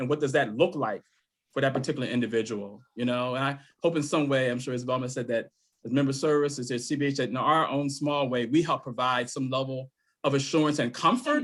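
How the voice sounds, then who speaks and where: This man has an unremarkable speaking voice, pitched fairly high for a man, and talks at a fairly quick pace. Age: 60s. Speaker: behavioral health member services staffer. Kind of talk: online conference networking chat.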